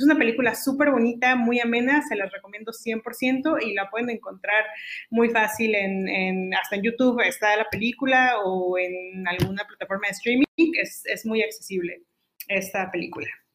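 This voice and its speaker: Ordinary variation marks the woman's fairly high pitch as she talks at a moderate tempo. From Mexico, Saltillo, Coahuila. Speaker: podcast host. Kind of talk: interview.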